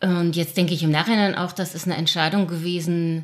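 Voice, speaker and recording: In a normal speaking voice, a woman talks at a fairly low pitch. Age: 50s. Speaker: primary school teacher. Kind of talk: casual interview conversation.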